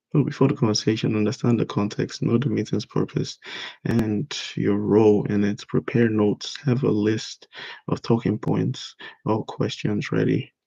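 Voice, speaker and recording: A man at a moderate pace, the sound dry and close with no echo. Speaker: vlogger working on his speaking skills. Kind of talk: reading notes aloud with commentary. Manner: timid.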